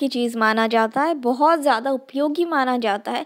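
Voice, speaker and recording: A woman speaks in a high voice with a slight Northeast Indian accent. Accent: slight Northeast Indian accent in Hindi. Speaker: sociology tutor. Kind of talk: lecture. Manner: hesitant, with fillers and code-switching to English.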